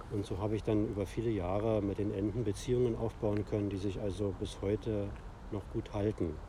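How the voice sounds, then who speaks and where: Speaking at a fairly quick pace, a man uses a fairly low pitch and a monotone, flat intonation, his tone dark and mellow and somewhat breathy. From Berlin (Steglitz). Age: 50s. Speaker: author and illustrator. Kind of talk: casual interview. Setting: outdoors in a city park.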